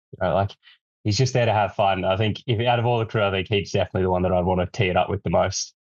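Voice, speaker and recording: A man with an Australian accent talks very fast at a fairly low pitch, his loudness very even and his intonation fairly even, over a quiet background. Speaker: streetwear brand representative. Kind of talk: interview.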